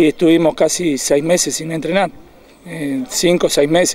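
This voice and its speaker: A man with a Uruguayan accent speaks at a fairly slow pace, his pitch high for a man. The sound is dry, with no echo. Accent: Uruguayan Rioplatense Spanish. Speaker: youth football coach. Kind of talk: post-match interview; interview answer. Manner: halting. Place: open country.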